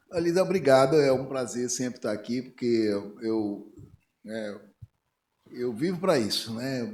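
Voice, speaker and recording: A man speaks at a medium pitch with a dark, mellow tone and lively intonation. Noticeable room echo surrounds his voice. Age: 60s. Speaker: physician. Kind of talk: panel discussion. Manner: halting.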